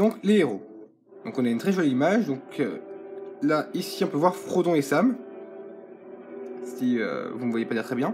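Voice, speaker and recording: Over music in the background, a man with a fairly high pitch makes very wide pitch swings and takes long, frequent pauses. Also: moderate pace. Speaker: gaming youtuber. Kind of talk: gameplay commentary. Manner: hesitant, many fillers.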